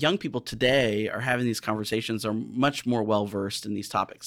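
Recorded very cleanly against a silent background, a man with a normal speaking voice talks at a medium pitch and a fairly quick pace, with ordinary pitch variation. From US Midwest, southern Illinois. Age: 40s. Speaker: healthcare diversity director. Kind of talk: interview.

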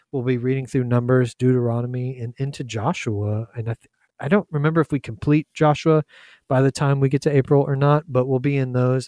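A man with a Southern US accent talks at a moderate pace and medium pitch. The recording is very clean and silent in the background, with a dry, close sound and no echo. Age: 40s. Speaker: young adults minister and podcast host. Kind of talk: casual Bible discussion.

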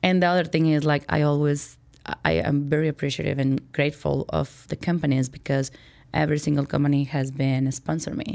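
A woman with a Spanish accent and a very deep, low pitch, fairly quick and fairly even in intonation, on a very clean recording with a silent background. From Mexico, Chihuahua. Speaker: corporate vice president. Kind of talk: interview.

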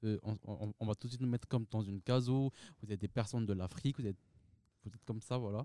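This man talks at a very fast pace with a medium pitch. His tone is dark and mellow. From Madagascar. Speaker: university student. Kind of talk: panel discussion interview.

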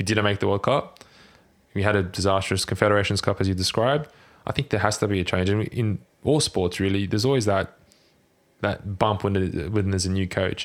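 A man with a fairly low pitch and an Australian accent, speaking at a fairly quick pace on a very clean recording with a silent background. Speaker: football fan guest. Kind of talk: casual chat.

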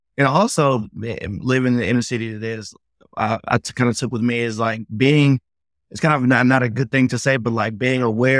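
Recorded with a dry, close sound and no echo, a man of medium pitch with an American accent talks at a fairly quick pace in a fairly even intonation. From Memphis, Tennessee (US South). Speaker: motivational speaker. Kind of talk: interview testimony.

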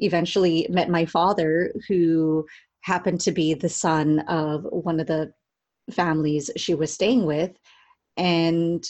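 This woman has a Californian accent and a fairly low pitch. She talks at a fairly slow pace. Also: quiet background. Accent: Californian American English. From Southern California (Cerritos). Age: 30s. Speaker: storytelling coach and life doula. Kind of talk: interview conversation.

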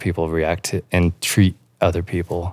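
In a very clean, dry, close recording with no echo and a silent background, a man with an American accent and a very deep, low pitch speaks in a flat monotone. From Kansas, small town. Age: 40s. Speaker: business owner. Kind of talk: interview. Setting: on location at his plant nursery.

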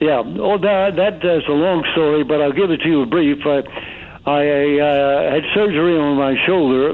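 A man with an American accent speaks at a moderate pace and a fairly high pitch, with ordinary pitch variation. His loudness is very even, and there is noticeable background noise. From US Northeast, Stamford, Connecticut. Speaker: actor and author. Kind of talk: interview. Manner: halting, many fillers.

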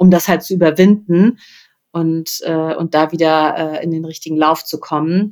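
Monotone and flat, a woman speaks at a moderate pace. Her pitch is fairly low. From Rhineland, Germany. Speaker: PR consultant and coach. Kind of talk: interview conversation. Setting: in person, sitting face to face.

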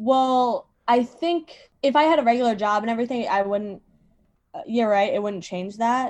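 In a plain, everyday voice, a woman with an American accent talks at a moderate pace, her fairly high pitch showing ordinary pitch variation. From Virginia. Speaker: comedian. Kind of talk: casual chat.

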